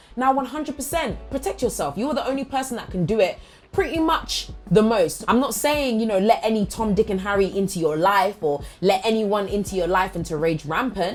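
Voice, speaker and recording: A woman speaks at medium pitch and a fairly quick pace. Her pitch swings very widely over music in the background. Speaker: motivational speaker. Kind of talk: motivational monologue. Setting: studio. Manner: loud; animated.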